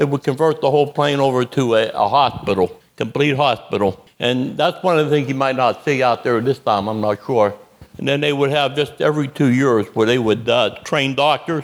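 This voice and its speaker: Using a plain, everyday voice, the speaker keeps a moderate pace with ordinary pitch variation and hardly any pauses. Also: man, medium pitch for a man, very even loudness. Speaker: Vietnam veteran. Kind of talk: storytelling at a live event.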